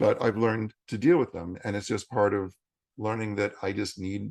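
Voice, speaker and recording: At a moderate pace, a man is talking. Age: 60s. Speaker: yoga teacher and bodywork practitioner. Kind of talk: interview conversation.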